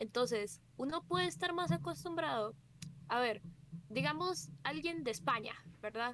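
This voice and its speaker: At a fairly slow pace, a woman talks in a fairly high pitch that swings very widely. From Costa Rica. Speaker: streamer. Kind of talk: casual chat.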